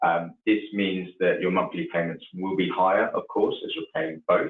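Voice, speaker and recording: A man with an English accent at a moderate pace. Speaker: mortgage adviser. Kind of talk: expert explanation in webinar. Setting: online webinar call.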